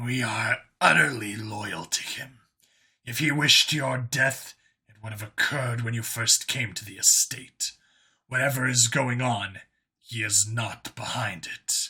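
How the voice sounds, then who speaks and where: Using a put-on character voice, a man growls at a moderate pace with a medium pitch. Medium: read story.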